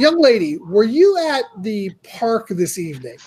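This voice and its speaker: In a put-on character voice, a female-sounding speaker talks gruffly at a fairly high pitch, with very wide pitch swings and a moderate pace. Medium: actual play. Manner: curt, demanding.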